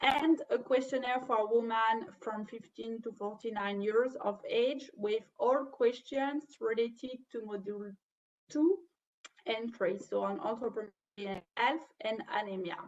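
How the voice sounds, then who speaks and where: Someone speaks with a French accent at a fairly slow pace. Pitch variation is ordinary. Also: woman, fairly high pitch for a woman. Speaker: webinar trainer. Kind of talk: webinar presentation. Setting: online webinar. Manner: halting.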